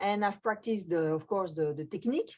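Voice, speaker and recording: A French accent against a quiet background. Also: woman. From France. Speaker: magician. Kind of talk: interview. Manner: halting.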